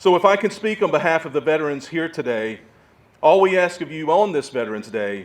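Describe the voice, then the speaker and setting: This man speaks at a fairly quick pace with a fairly high pitch and very wide pitch swings, in a Southern US accent. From US South. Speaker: war veteran. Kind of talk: speech.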